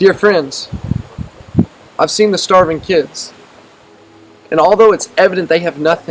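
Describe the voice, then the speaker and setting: With music in the background, a high-pitched man speaks at a moderate pace with fairly even intonation and long, frequent pauses. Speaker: spoken word poet, mission preacher. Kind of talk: spoken word poetry, preaching.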